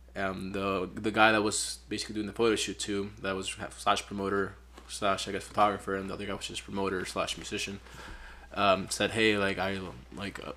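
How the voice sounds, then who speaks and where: A man's fairly low, bright, sharp voice with a Spanish accent at a fairly quick pace. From Peru. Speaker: photographer. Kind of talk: casual chat.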